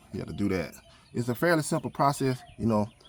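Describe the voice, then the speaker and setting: A man talks at a very fast pace. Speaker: DIY car repair YouTuber. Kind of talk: tutorial. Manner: loud and clear; casual, halting with fillers.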